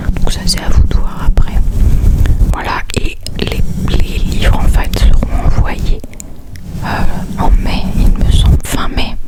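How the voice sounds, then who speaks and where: A woman whispers at a very slow pace. Noticeable background noise runs behind her. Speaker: ASMR reader. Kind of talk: ASMR chat to camera. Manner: whispered.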